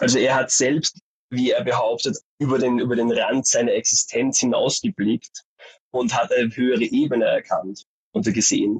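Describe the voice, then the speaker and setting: Loudness stays very even as a man talks at a moderate pace. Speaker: graduate, art education student. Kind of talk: interview about his thesis. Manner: animated.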